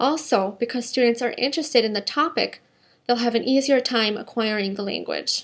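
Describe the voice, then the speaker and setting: Her voice high, a woman with an Upper Midwest accent talks at a moderate pace with ordinary pitch variation. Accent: Upper Midwest American. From US Midwest, Minnesota. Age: 20s. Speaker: job applicant, English teacher. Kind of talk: scripted self-introduction. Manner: formal.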